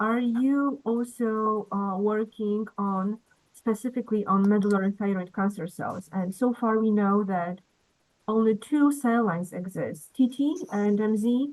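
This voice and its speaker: A woman with a Polish accent speaks fairly slowly at a fairly high pitch, with ordinary pitch variation. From Poland. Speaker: cancer researcher. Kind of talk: Q&A question. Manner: halting.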